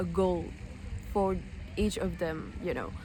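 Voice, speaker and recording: In a room with audible echo, a woman speaks at a moderate pace. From French-speaking West Africa. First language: French (and an African mother tongue). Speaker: language learning vlogger. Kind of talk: casual vlog talk. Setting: outdoors. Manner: hesitant, many fillers.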